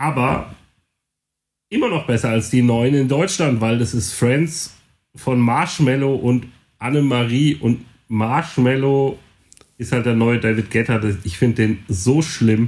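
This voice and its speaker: Here a man speaks at a medium pitch with ordinary pitch variation. His pace is very slow, with long, frequent pauses. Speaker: podcast co-host and DJ. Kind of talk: casual chat.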